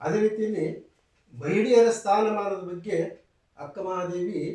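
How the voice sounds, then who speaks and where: Audible room echo fills the space. Within it, a man is talking. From Karnataka, Nyamathi taluk. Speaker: writer and poet, retired college principal. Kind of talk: interview. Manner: halting; formal.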